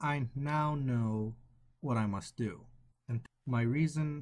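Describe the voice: The recording is plain reading aloud with ordinary pitch variation over a quiet background.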